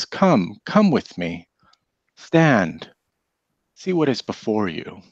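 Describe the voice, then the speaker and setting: Using a put-on character voice, a man at medium pitch speaks very slowly with very wide pitch swings. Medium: actual play. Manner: solemn, summoning.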